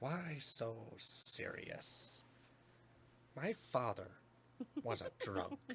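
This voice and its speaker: A man uses a put-on character voice pitched fairly high, talking at a very slow pace with long, frequent pauses over clear background noise. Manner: menacing, theatrical.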